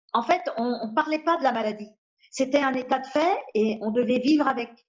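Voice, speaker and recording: A woman with a high voice talks at a moderate speed, her pitch varying in an ordinary way. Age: 60s. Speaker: patient with a rare disease. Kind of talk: interview testimony. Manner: hesitant, with many fillers.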